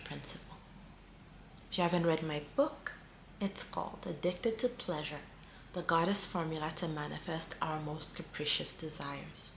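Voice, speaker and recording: Amid audible room echo, a woman with a very deep, low pitch speaks with ordinary pitch variation and long, frequent pauses. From small African island country. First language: not English. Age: 40s. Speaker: spiritual healer and coach. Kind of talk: spiritual teaching monologue. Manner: mellow.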